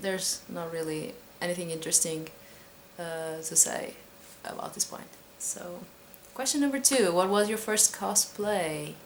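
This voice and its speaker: Over noticeable background noise, a woman talks at a moderate pace with lively intonation and big swings in loudness. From Portugal. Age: 20s. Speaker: cosplayer vlogger. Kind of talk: casual Q&A vlog. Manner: hesitant, many fillers.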